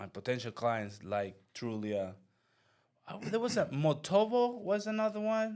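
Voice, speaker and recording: The pace is fairly slow, with big swings in loudness. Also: man. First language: Spanish. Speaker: real estate agent and channel host. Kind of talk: casual interview chat. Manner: halting.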